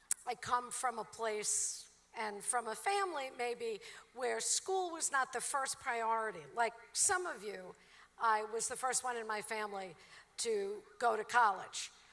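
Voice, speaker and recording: In a Brooklyn accent, a woman speaks at a fairly slow pace and a fairly high pitch. Her tone is bright and sharp, and her intonation lively. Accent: Brooklyn, New York. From Brooklyn, New York. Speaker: commencement speaker, professor. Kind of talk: commencement speech. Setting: stage with audience.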